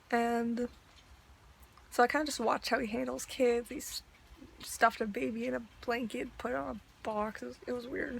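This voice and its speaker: A woman at a fairly high pitch talks at a fairly quick pace with ordinary pitch variation, big swings in loudness, and long, frequent pauses. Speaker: vlogger. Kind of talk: casual rant. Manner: hesitant, filler-heavy.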